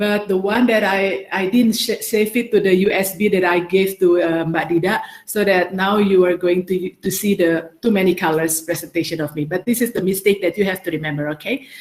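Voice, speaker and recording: Against noticeable background noise, a woman with a medium pitch talks at a fairly quick pace with hardly any pauses. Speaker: ambassador giving a talk. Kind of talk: workshop presentation. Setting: video call. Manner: fast; halting, many fillers and restarts.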